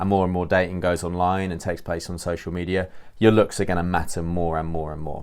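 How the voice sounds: A man speaks at a fairly quick pace with a low pitch and a slightly mellow tone, his intonation fairly even. The recording is very clean, with a silent background.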